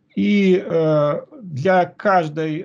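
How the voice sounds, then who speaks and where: Against a quiet background, a man speaks in a somewhat breathy voice with lively intonation. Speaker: researcher; conference presenter. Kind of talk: conference presentation. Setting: video call. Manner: halting. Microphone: video call.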